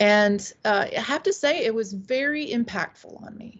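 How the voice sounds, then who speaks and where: A somewhat breathy woman with an American accent, fairly high pitch and ordinary pitch variation. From US South, upstate South Carolina. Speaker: witchcraft author and priestess. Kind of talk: interview.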